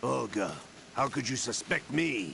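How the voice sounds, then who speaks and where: A man puts on a raspy character voice at medium pitch and a fairly slow pace. Clear background noise runs under it. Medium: video game. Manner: cold, sardonic.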